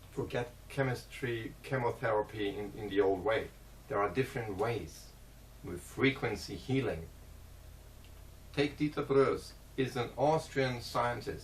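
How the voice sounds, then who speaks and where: Taking long, frequent pauses, a man speaks at a fairly slow pace with vocal fry. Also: medium pitch for a man, ordinary pitch variation. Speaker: vlogger. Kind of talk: casual monologue. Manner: halting.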